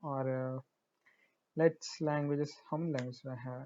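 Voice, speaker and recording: A man with a Marathi accent talks at a fairly high pitch. His intonation is monotone and flat. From India, Hyderabad. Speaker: programming tutorial creator. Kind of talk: tutorial. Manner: halting, many fillers.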